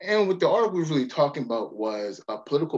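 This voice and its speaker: A man with an American accent at a very fast pace, very wide pitch swings, and a quiet background. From Baltimore, Maryland. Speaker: history professor. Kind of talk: lecture. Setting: video call. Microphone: webcam.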